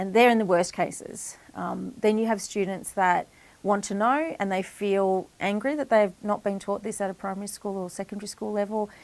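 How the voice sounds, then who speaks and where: In an Australian accent, a woman talks at a moderate pace with hardly any pauses. Her intonation stays fairly even. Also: medium pitch for a woman. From Echuca, Victoria, Australia. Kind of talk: interview answer.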